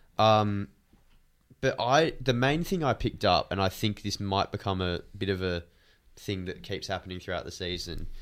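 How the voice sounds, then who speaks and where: On a very clean recording with a silent background, a man with an Australian accent speaks at a moderate pace in a fairly low pitch, with ordinary pitch variation and long, frequent pauses. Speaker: podcast co-host, footy fan. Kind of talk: casual banter.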